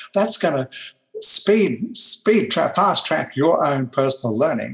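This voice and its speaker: With an Australian accent, a man speaks very slowly at a fairly high pitch, his pitch swinging very widely while his loudness stays very even. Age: 70s. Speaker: personal development trainer. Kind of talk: interview storytelling.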